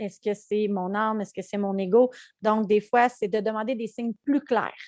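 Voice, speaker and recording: A woman with a fairly high pitch speaks at a moderate pace. The background is quiet. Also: dry, close sound with no echo. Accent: Quebec. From Quebec. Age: 30s. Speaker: mindfulness coach. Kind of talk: live webinar teaching. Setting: live online webinar. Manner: halting, many fillers.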